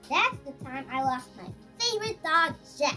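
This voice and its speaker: A woman performs in a put-on character voice. Clear music plays in the background. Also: moderate pace. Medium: read story. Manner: warm, reminiscing.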